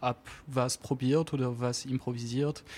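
Over a very clean recording with a silent background, a man with a strong French accent speaks at a medium pitch. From French Alps near Geneva, France. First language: French (speaking German). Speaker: jazz double bassist. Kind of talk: radio interview. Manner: halting, searching for words.

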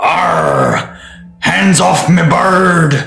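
A man does a put-on character voice that is raspy, gruff and fairly high-pitched.

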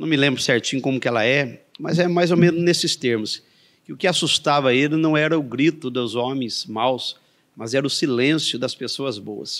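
This man speaks with a Minas Gerais accent. His pitch is fairly high, with ordinary variation. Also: moderate pace. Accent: Minas Gerais (mineiro). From Andradas, Minas Gerais, Brazil. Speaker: evangelical pastor. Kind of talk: interview. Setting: studio in coworking space.

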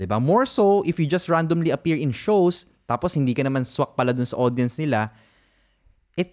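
A man with a Filipino accent and fairly high pitch, very wide pitch swings, a fairly quick pace, and a very clean recording with a silent background. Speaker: podcast host. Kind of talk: casual chat.

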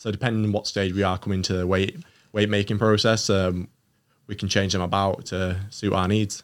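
On a very clean recording with a silent background, a man with a Yorkshire accent talks at a fairly quick pace in a fairly low, monotone, flat voice. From northern England, Doncaster. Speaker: Olympic taekwondo athlete. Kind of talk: casual interview chat.

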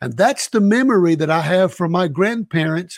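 The speaker has a Southern US accent and lively intonation at a moderate pace. The sound is dry and close, with no echo. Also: man. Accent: Southern US (Georgia). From US South, Savannah, Georgia. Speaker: missionary. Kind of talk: interview.

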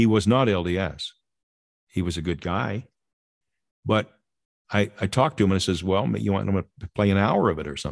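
With an American accent, a man talks at a fairly quick pace in a fairly low pitch with vocal fry, ordinary pitch variation, and long, frequent pauses over a quiet background. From Southern California. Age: 70s. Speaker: radio program producer. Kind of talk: interview storytelling.

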